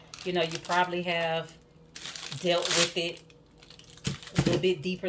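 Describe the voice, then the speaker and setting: A woman speaks with a strong Southern US accent. Her pitch is fairly low, and there is noticeable background noise. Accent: thick southern accent, country twang. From US South, Georgia. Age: 40s. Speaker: soap maker and vlogger. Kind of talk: casual chat while working.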